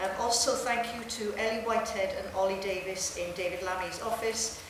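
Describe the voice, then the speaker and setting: The speech moves at a moderate pace. There is audible room echo and noticeable background noise. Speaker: university administrator. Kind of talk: formal welcome speech. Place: hall. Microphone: podium.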